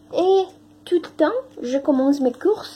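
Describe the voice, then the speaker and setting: In a Spanish accent, a woman talks at a very slow pace with lively intonation. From Mexico. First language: Spanish (speaking French). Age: 20s. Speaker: language teaching assistant. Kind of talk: testimony. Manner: halting, many hesitations.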